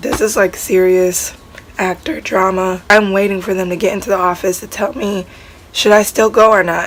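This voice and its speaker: Noticeable background noise accompanies a woman speaking at medium pitch and a moderate pace with fairly even intonation. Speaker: actress. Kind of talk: casual vlog talk to camera.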